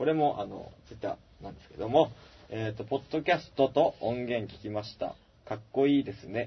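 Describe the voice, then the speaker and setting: Somewhat breathy, a man talks at a moderate pace and medium pitch with ordinary pitch variation. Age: 30s. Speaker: band guitarist and podcast host. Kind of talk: casual chat. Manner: halting, many fillers.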